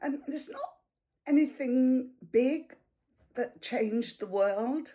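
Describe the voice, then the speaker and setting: At a very slow pace, a voice with a dark, mellow tone speaks in a British accent. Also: woman. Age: 70s. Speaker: retired accountant, artist and teacher. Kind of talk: reflective personal talk to camera.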